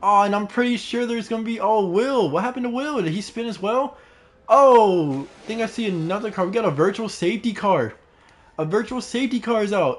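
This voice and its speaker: Animated in tone, a man talks at a fairly quick pace with a high pitch and ordinary pitch variation. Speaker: sim racing league commentator. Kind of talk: live commentary.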